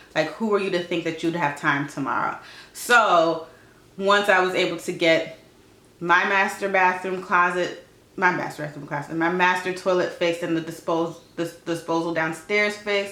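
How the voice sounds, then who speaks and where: Audible room echo and noticeable background noise surround a woman's voice. She speaks at a fairly low pitch with fairly even intonation. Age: 30s. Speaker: lifestyle vlogger. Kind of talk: casual chat. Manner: fast.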